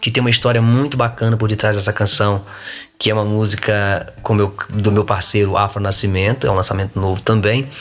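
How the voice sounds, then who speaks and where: Music plays in the background as a man talks at a fairly low pitch with very even loudness. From Brazil, Minas Gerais (Coronel Fabriciano). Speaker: singer-songwriter. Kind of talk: casual interview chat.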